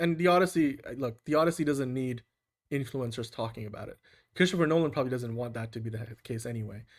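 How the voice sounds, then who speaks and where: A man with a non-native accent speaks at a very fast pace and medium pitch, with ordinary pitch variation. The recording is very clean, with a silent background. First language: not English. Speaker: movie podcast host. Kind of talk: casual chat.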